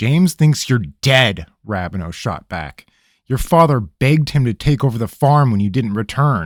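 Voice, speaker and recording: In a gruff put-on character voice of medium pitch, a man speaks at a moderate pace on a very clean recording with a silent background. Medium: read story. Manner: gruff, demanding.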